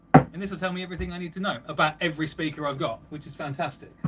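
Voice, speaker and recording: A man speaks at a very fast pace, his pitch fairly high for a man, with ordinary pitch variation. Noticeable background noise sits behind him. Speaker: livestreamer and car audio hobbyist. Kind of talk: live stream chat reading comments. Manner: animated.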